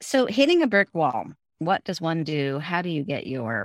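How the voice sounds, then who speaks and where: An ordinary speaking voice at a moderate pace, dry and close with no echo, on a very clean recording with a silent background. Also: woman. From US West Coast, San Francisco. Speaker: former corporate executive and author. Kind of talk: interview.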